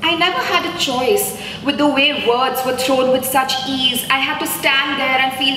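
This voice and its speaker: Over noticeable background noise, a woman with a high pitch uses a raised, projected voice. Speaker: poet. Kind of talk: live poetry performance. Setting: live event at an art gallery.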